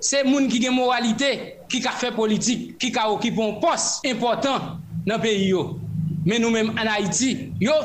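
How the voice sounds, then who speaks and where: Extremely high-pitched male speech at a fairly slow pace with ordinary pitch variation, audible room echo and noticeable background noise. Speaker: youth movement coordinator. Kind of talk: radio interview.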